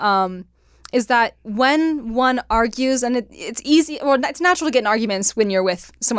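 On a very clean recording with a silent background, a woman with a Californian accent talks fairly quickly with lively intonation. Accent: Californian, West Coast. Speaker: podcast host. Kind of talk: casual chat.

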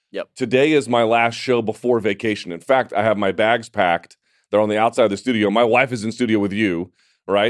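In a very clean recording with a silent background, a man with a plain, everyday voice talks at a fairly quick pace, his medium pitch showing ordinary variation. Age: 30s. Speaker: MMA show host. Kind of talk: casual chat. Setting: studio.

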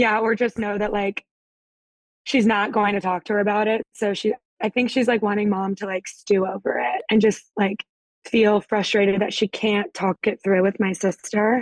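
This woman has an ordinary speaking voice at a medium pitch, with fairly even intonation, a moderate pace, and a dry, close sound with no echo. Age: 20s. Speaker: caller. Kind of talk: advice call.

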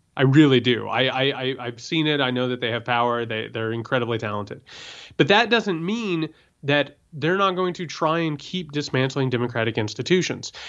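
Against a quiet background, a man of medium pitch speaks at a moderate pace with lively intonation. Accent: American. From Indiana. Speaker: political podcast host. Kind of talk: casual political discussion. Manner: animated.

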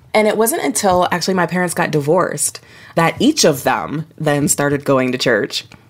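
A woman with a normal speaking voice talks at a moderate pace, her pitch fairly low. Her intonation is lively and her loudness stays very even. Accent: American. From Ohio, US Midwest. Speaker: author. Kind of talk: interview conversation.

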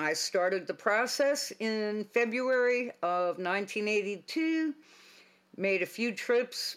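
A woman with an American accent, very slow pace, lively intonation, very clean recording and silent background. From Boston area, Massachusetts. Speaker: retired police officer. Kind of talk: interview storytelling.

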